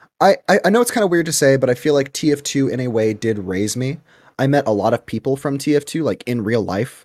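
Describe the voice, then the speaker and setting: This man has an unremarkable speaking voice at a medium pitch, with lively intonation. He speaks at a fairly quick pace, and the sound is dry and close with no echo. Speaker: content creator. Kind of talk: casual interview chat.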